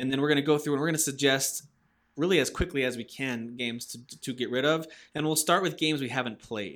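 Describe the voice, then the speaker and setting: A man in an American accent speaks at a very fast pace, the recording very clean and the background silent. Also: fairly high pitch for a man, ordinary pitch variation. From Massachusetts. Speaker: gaming podcast host. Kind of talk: casual chat.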